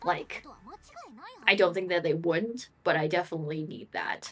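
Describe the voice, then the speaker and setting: A woman with a fairly low pitch and ordinary pitch variation talks over noticeable background noise. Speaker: streamer. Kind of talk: live gameplay stream chat.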